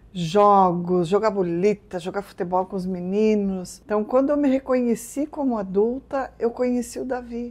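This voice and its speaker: A woman with a normal speaking voice at a medium pitch, a moderate pace and ordinary pitch variation, hardly any pauses, and a quiet background. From southern Brazil, Rio Grande do Sul. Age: 60s. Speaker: business owner. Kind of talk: interview.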